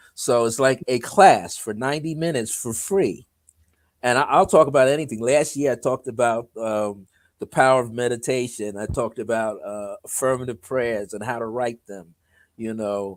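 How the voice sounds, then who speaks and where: With an ordinary speaking voice, a man talks at a moderate pace with ordinary pitch variation and big swings in loudness, in a very clean recording with a silent background. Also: medium pitch for a man. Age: 60s. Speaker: numerologist and author. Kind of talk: casual interview chat.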